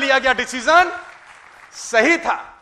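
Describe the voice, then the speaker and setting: Raised and projected, a man's extremely high, bright, sharp voice sounds animated, with ordinary pitch variation. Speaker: motivational speaker. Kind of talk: motivational talk.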